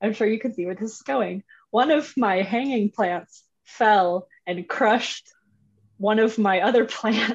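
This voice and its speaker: A woman's fairly high voice, a normal speaking voice, fairly slow with ordinary pitch variation. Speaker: guest co-advisor. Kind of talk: casual chat.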